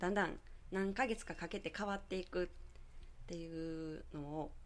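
A woman at a moderate pace with ordinary pitch variation and long, frequent pauses. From Nara Prefecture, Japan (rural Yoshino). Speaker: beauty salon owner and aroma therapist. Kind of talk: radio interview. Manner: chatty, frequent laughter.

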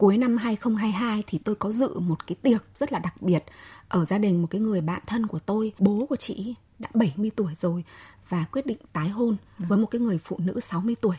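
Somewhat breathy and medium in pitch, a woman speaks at a moderate pace with ordinary pitch variation, the sound dry and close with no echo. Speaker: journalist and writer. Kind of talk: radio talk show discussion.

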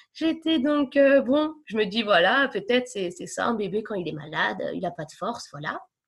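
With hardly any pauses, a woman talks at a fairly high pitch, her voice making very wide pitch swings. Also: moderate pace. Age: 30s. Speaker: mother of diabetic twins. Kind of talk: testimony. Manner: hesitant, many fillers.

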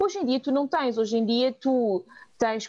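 Speaking at a fairly slow pace, a woman is heard over noticeable background noise. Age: 30s. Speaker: volunteering nonprofit coordinator. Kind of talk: interview. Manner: halting.

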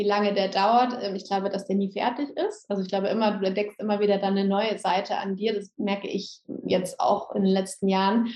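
Speaking at a fairly quick pace with hardly any pauses, a woman holds a medium pitch in a monotone, flat intonation. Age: 30s. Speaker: yoga teacher and essential oils seller. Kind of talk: interview.

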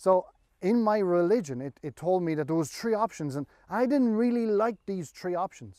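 With an Irish accent, a man speaks at a high pitch in a dark, mellow tone, his intonation lively. The pace is moderate and the sound is dry and close, with no echo. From Ireland. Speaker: pastor. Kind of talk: sermon. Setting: online church service.

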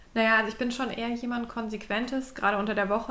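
Very fast and monotone, a woman with a fairly high pitch speaks flatly, with audible room echo around her. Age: 20s. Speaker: innovation consultant and podcast co-host. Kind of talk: casual chat.

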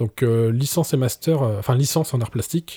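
On a very clean recording with a silent background and a dry, close sound with no echo, a man with a dark, mellow, somewhat breathy voice speaks at a medium pitch and moderate pace with ordinary pitch variation. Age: 30s. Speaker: professional photographer. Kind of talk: podcast interview. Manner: hesitant, many fillers.

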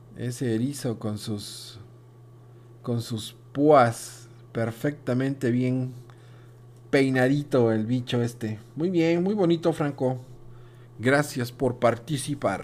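A man talks at a very slow pace, leaving long, frequent pauses. His pitch sits in the medium range for a man, with ordinary variation. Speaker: kindergarten teacher hosting school radio. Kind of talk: casual educational radio chat.

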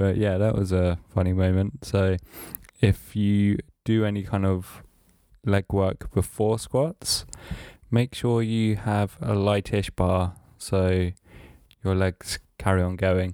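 A man speaks in a dark, mellow tone at a fairly low pitch and a very slow pace. His intonation is fairly even and his loudness very even. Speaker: podcast host. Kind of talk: casual monologue. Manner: hesitant, filler-heavy.

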